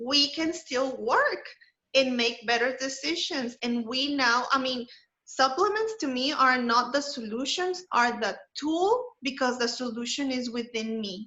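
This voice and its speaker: A woman with a non-native accent, high in pitch, at a fairly slow pace with ordinary pitch variation. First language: not English. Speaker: wellness presenter. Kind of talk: webinar presentation.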